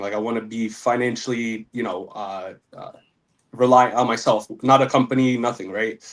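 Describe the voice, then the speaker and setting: Speaking at a moderate pace with an American accent, a man keeps to a medium pitch. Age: 20s. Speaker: caller, young engineer. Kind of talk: call-in coaching advice. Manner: halting.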